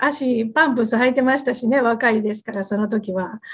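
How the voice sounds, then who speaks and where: A woman with a Kansai accent talks in a somewhat breathy, fairly high-pitched voice. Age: 50s. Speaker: company president. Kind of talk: interview. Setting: video call.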